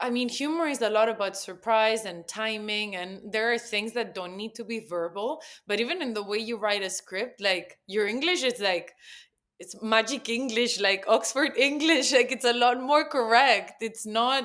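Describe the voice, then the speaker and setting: A woman with a Spanish accent speaks at a fairly high pitch, moderate pace, and ordinary pitch variation. The recording is very clean with a silent background. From Spain. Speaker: copywriter and poet. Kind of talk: casual chat.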